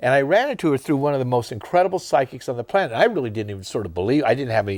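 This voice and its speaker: Speaking very fast at medium pitch, a man sounds animated as his pitch swings very widely, on a very clean recording with a silent background. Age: 70s. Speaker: TV show host. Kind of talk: casual interview chat. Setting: TV studio.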